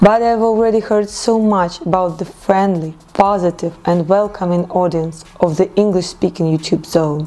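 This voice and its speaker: A woman with a Russian accent talks at a moderate pace over noticeable background noise. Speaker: blogger. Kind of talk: vlog monologue.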